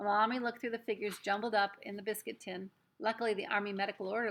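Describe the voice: Fairly even intonation in plain reading aloud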